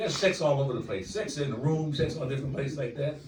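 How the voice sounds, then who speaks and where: This man speaks at a very fast pace with a fairly high pitch. Audible room echo and noticeable background noise fill the recording. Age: 60s. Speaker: stand-up comedian. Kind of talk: stand-up. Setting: stage with audience. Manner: animated.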